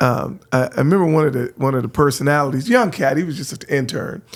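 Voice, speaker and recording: In an American accent, a man with a fairly high voice speaks with lively intonation. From San Francisco, California. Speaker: radio host. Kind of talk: casual chat.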